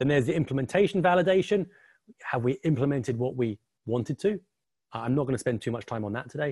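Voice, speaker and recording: A man with an English accent at a very fast pace, medium pitch and lively intonation, in a dry, close sound with no echo. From England. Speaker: quant, model risk expert. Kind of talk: webinar presentation.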